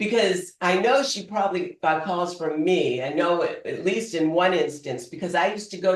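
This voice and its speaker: A woman with a Boston accent speaks at a medium pitch. Her pace is moderate and her pitch variation ordinary. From Boston, US. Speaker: public speaker. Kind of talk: humorous storytelling speech.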